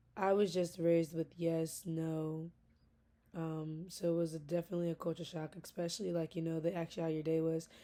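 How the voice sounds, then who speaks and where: In a dark, mellow tone, a woman speaks at a fairly quick pace with a fairly low pitch and monotone, flat intonation. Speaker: graduate student. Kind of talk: recorded class speech, informal monologue. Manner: passionate, intense.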